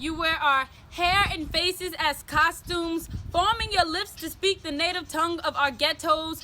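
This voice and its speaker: A woman speaks in a raised, projected voice with a bright, sharp tone and extremely high pitch, keeping a fairly slow pace. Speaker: spoken word poet. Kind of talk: spoken word poetry performance, often in call-and-response with a partner.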